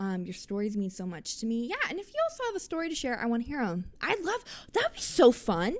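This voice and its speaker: Against noticeable background noise, a woman talks at a very fast pace in a high pitch, her tone animated and her pitch swinging very widely. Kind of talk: casual monologue. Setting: living room.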